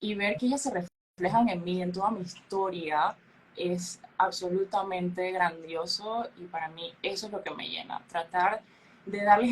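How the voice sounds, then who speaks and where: A woman speaks at a fairly slow pace with a somewhat breathy voice. Her pitch sits in the middle range, with ordinary variation. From Panama. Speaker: beauty pageant queen. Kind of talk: interview. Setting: podcast.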